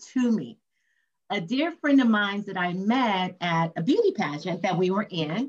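A woman with an American accent, somewhat breathy and medium in pitch, at a fairly slow pace. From Compton, California. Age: 50s. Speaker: nonprofit founder and author. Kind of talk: interview. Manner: talkative.

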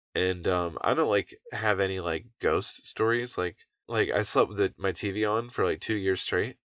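A man with a normal speaking voice talks at a moderate pace in a fairly low pitch with ordinary pitch variation, recorded very cleanly against a silent background with a dry, close sound and no echo. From North Carolina (grew up from age ~7; born in Orlando, Florida). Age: 30s. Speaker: podcast guest, adult content creator. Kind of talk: casual chat. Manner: loud.

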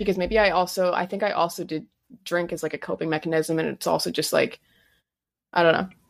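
A woman speaks very fast at a fairly low pitch with vocal fry and fairly even intonation. She leaves long, frequent pauses. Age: 20s. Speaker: podcast host. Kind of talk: casual chat.

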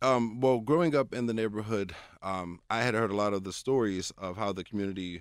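An unremarkable speaking voice with an American accent moves at a moderate pace with ordinary pitch variation. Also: man, very clean recording, silent background. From Pittsburgh, Pennsylvania (Hazelwood). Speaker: local historian. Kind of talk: interview.

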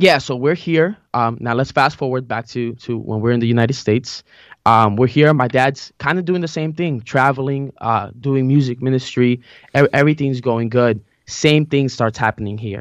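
In a Spanish accent, a man talks at a moderate pace and medium pitch with ordinary pitch variation over a quiet background. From Colombia, moved to US Maryland at age five. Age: 20s. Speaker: church musician and worship leader. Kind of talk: casual interview chat.

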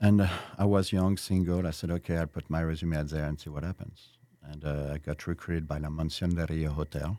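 A man with a French accent speaks at a fairly quick pace in a very deep, low pitch, with a dark, mellow tone and fairly even intonation. The recording is very clean, with a silent background. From France (Versailles). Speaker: restaurateur. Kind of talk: interview.

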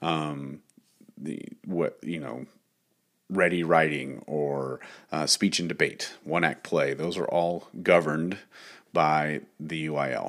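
A man with an American accent speaks at a very deep, low pitch with vocal fry and fairly even intonation. He goes at a very slow pace with long, frequent pauses on a very clean recording with a silent background. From Texas, Dallas-Fort Worth area. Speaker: high school choir director and podcast host. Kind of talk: solo podcast monologue. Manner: hesitant with frequent fillers.

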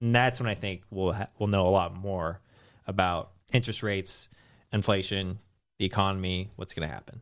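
A man with an American accent speaks at a moderate pace in a fairly low voice with fairly even intonation, on a very clean recording with a silent background. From US, San Francisco Bay Area. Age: 30s. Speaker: finance content creator, former financial advisor. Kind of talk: casual interview chat.

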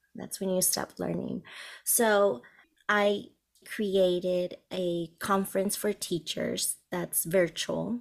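A woman's medium-pitched voice in a Spanish accent, very slow and with fairly even intonation. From Colombia. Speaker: bilingual teacher and resource entrepreneur. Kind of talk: interview.

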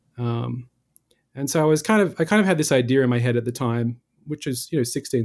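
In an Australian accent, a man speaks at a medium pitch and a very fast pace. The recording is very clean, with a silent background. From Western Australia, Perth hills. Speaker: composer. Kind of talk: interview. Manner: hesitant, many fillers.

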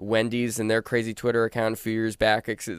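Recorded with a dry, close sound and no echo, a man with a plain, everyday voice and medium pitch talks at a moderate pace. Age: 30s. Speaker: radio host. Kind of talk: casual interview. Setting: studio.

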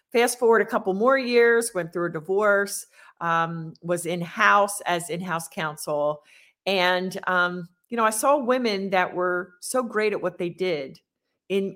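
In an unremarkable speaking voice, a woman talks at a fairly slow pace with a medium pitch and ordinary pitch variation. The recording is very clean, with a silent background. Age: 50s. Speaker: business coach. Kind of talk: interview.

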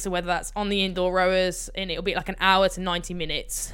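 With a Birmingham accent, a woman speaks in a bright, sharp tone. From England, Birmingham. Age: 20s. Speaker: Paralympic rower. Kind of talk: interview. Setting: remote call.

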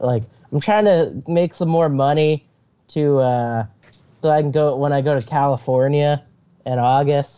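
In a dark, mellow tone, a man speaks at a fairly slow pace, his pitch fairly high and its variation ordinary. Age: 20s. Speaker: aspiring comedian. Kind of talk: casual chat.

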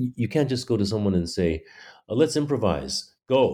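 The voice carries an American accent. The recording is very clean, with a silent background. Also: man. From Taiwan (elementary school in the US). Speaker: playwright. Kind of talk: interview. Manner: halting.

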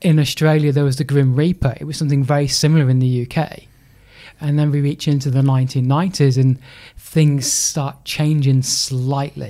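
A man's dark, mellow voice with an English accent and monotone, flat intonation. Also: fairly high pitch for a man, moderate pace. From England, Lincolnshire. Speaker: sports charity CEO and speaker. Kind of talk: interview.

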